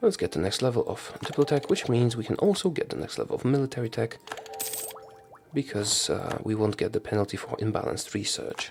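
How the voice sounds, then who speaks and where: Soft-spoken, a man talks at a fairly quick pace with music in the background. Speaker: video game streamer. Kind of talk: gameplay commentary.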